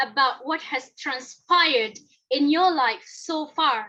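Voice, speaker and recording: The voice is raised and projected, bright and sharp in tone, and moves at a fairly slow pace. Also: woman. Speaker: toastmasters club member giving speech. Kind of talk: prepared speech.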